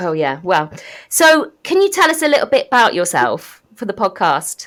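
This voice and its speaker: A woman's fairly high voice with very wide pitch swings and vocal fry, on a very clean recording with a silent background. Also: moderate pace. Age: middle-aged. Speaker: podcast host. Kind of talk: casual podcast chat.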